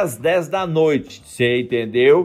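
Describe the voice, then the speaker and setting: Speaking at a fairly slow pace, a man delivers his words in an animated tone. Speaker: podcast host, teacher. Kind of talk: motivational monologue.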